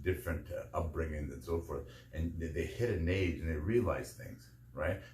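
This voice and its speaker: Vocal fry and lively intonation in a man's very deep, low voice, at a moderate pace. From Canadian prairies. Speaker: podcaster. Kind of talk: podcast monologue. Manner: halting, filler-heavy.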